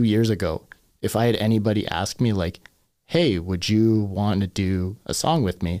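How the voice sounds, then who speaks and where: Speaking with a Canadian accent in an ordinary speaking voice, a man uses a fairly low pitch, ordinary pitch variation and a moderate pace on a very clean recording with a silent background. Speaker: hip hop artist. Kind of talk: casual chat. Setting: studio.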